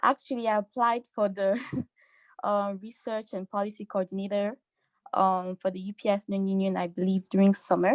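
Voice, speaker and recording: A woman's medium-pitched voice in a French accent, with fairly even intonation, a moderate pace and a dry, close sound with no echo. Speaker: student council member. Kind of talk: committee application statement at council meeting.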